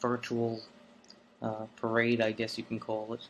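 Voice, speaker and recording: A man speaks with a New York accent. His pace is very slow. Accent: New York City. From South Brooklyn, New York City. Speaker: vlogger. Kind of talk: unscripted monologue. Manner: hesitant, many fillers.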